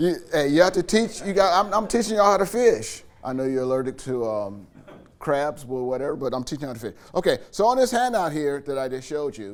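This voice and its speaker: A man at a fairly high pitch and fairly quick pace, with very wide pitch swings. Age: 70s. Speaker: college instructor. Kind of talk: staff training session. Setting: classroom with live audience, filmed. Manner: casual and joking.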